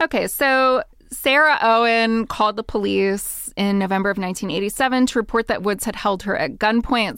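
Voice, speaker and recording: A woman speaks in a normal speaking voice, her pitch fairly high with ordinary variation. She keeps a moderate pace, and the recording is very clean with a silent background. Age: 40s. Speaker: podcast co-host, historian. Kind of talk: casual chat.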